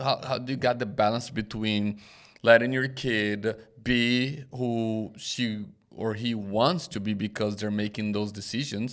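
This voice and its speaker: A man with a non-native accent at medium pitch, fairly slow and fairly even in intonation, on a very clean recording with a silent background. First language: not English. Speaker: pastor and podcast host. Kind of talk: podcast interview.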